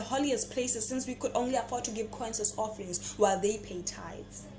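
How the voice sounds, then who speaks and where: Music plays in the background as a woman speaks in a fairly high pitch with ordinary pitch variation. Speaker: spoken word poet. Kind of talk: spoken word poetry performance.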